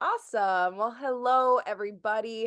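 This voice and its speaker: Against a quiet background, a woman in a plain, everyday voice speaks at a fairly slow pace, with a medium pitch and ordinary pitch variation. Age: 30s. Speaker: crypto trading educator. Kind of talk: online group call presentation. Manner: casual, filler-heavy.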